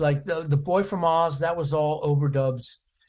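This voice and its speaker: A man's fairly high, somewhat breathy voice with an American accent. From US, Washington DC. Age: 70s. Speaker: percussionist. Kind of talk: interview. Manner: halting, many fillers.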